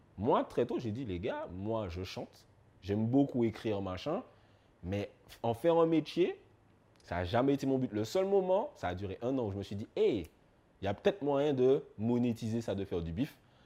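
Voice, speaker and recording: A man at medium pitch with a dark, mellow tone, very wide pitch swings, a moderate pace and long, frequent pauses, set against a quiet background. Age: 30s. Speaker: YouTube music commentator. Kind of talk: interview. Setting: studio.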